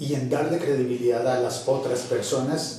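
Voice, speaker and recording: Amid noticeable background noise, a man talks at a fairly slow pace with a fairly high pitch. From Colombia. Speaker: radio announcer and voice-over artist; podcaster. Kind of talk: interview answer.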